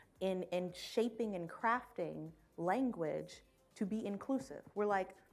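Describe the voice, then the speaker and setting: A woman talks at a medium pitch over background music. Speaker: finance executive. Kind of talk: fireside chat.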